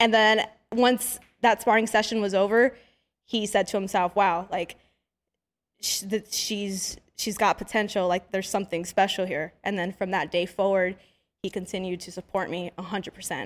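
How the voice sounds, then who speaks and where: A woman with an American accent in an ordinary speaking voice, medium-pitched, at a moderate pace, on a very clean recording with a silent background. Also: fairly even intonation. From East Los Angeles, California. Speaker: professional boxer. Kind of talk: casual interview.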